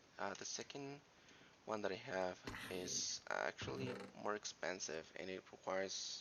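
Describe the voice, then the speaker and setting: Soft-spoken and fairly slow, a man talks with a very deep, low pitch. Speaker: gaming streamer. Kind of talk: live game streaming commentary. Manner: quiet, soft-spoken; halting, many fillers. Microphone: too quiet, viewers can't hear well.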